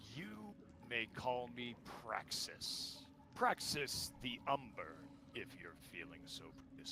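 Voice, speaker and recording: A man puts on a rumbling character voice at medium pitch, talking at a fairly slow pace over clear background noise. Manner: imposing, formal, poised to strike.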